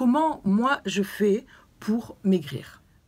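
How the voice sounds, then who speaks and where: This woman's voice sits at a medium pitch and is somewhat breathy, with lively intonation. The recording is very clean, with a silent background. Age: 60s. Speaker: fitness and weight-loss vlogger. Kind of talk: video talk, advice to viewers. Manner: hesitant with fillers.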